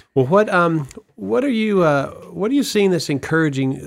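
Lively in intonation, a man with an ordinary speaking voice talks at a moderate pace. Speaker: podcast host and church staff member. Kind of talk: casual interview.

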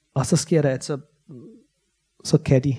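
A man with a fairly high pitch and a dark, mellow, somewhat breathy tone talks at a fairly slow pace with fairly even intonation. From Bosnia. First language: Bosnian/Croatian (speaking Danish). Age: 30s. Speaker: novelist. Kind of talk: author talk with Q&A. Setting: library stage with audience. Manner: halting, many fillers.

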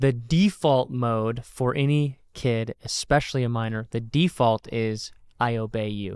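Recorded very cleanly against a silent background, a man speaks at medium pitch with ordinary pitch variation and an ordinary speaking voice. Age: 30s. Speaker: podcast host, pastor. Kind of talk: casual theology discussion.

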